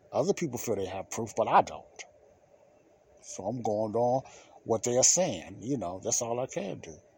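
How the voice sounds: A man talks at a moderate pace with big pitch swings, his tone dark and mellow with a slightly husky edge. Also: medium pitch for a man.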